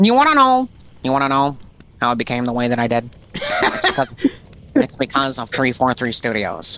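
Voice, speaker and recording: A put-on character voice, gravelly and low-to-middle in pitch. It moves at a fairly quick pace. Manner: like a car salesman, gravelly menacing.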